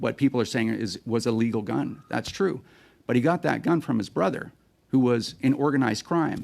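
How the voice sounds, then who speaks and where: With a medium-pitched voice and vocal fry, a man talks with lively intonation, stopping often for long pauses. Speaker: firearms advocacy group executive. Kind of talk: parliamentary committee testimony. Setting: Senate committee hearing room. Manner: fast.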